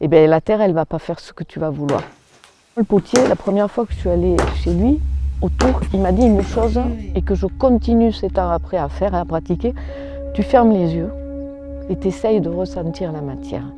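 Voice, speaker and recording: Over noticeable background noise, a woman talks at a fairly quick pace but with long, frequent pauses. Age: 60s. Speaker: ceramicist, retired banker. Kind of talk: interview testimony. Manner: casual, conversational.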